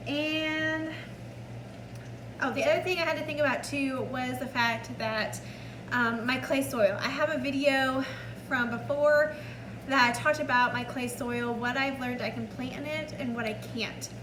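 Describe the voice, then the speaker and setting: A woman's high-pitched voice with ordinary pitch variation at a moderate pace, amid noticeable background noise and audible room echo. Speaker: home gardening vlogger. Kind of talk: casual vlog tutorial.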